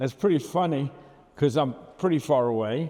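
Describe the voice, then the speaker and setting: Here a man with a Brooklyn accent talks at a moderate pace with lively intonation. His tone is dark and mellow. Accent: Brooklyn, New York. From Brooklyn, New York. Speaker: photographer recounting his work. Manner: rambling, conversational, with many fillers.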